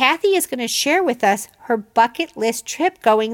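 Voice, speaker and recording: Here is an ordinary speaking voice from a woman with a fairly high pitch. She talks at a fairly slow pace, and the sound is dry and close with no echo. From Chicago, US Midwest. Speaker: podcast host. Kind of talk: casual interview and monologue.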